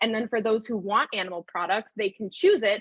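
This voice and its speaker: A woman with an American accent, fairly high in pitch, in a dry, close sound with no echo. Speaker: nonprofit co-founder and advocate. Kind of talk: panel presentation. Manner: fast.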